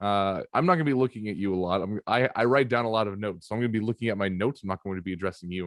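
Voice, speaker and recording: A man talks at a very fast pace with ordinary pitch variation. The background is quiet and the sound is dry and close, with no echo. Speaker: podcast host. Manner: hesitant, many fillers.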